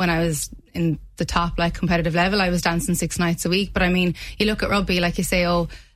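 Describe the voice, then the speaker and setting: The speaker has a Limerick accent. The pace is very fast. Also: woman. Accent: Irish (Limerick). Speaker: rugby club PR officer and player. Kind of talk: radio interview.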